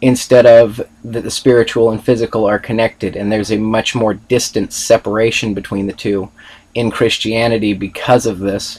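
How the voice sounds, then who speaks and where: Monotone, flat intonation marks a man speaking at medium pitch and a moderate pace. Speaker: student presenter. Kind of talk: class presentation read from notes. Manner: hesitant, stuttering.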